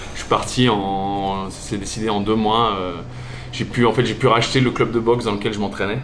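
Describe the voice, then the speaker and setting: A man speaks in a fairly low, monotone, flat voice at a moderate pace. Noticeable background noise and audible room echo come through. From Alsace, France. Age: 40s. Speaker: gym owner, former DJ. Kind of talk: interview. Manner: casual, with many fillers and repetitions.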